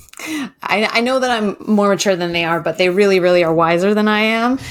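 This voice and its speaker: The recording is very clean, and the background is silent. Her pitch varies in an ordinary way as this woman talks. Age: 40s. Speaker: life coach. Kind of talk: casual interview.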